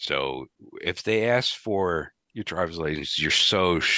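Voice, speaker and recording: This man has a very deep, low pitch and an American accent. He speaks at a very slow pace with lively intonation. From US East Coast. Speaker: IT director. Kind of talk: podcast interview.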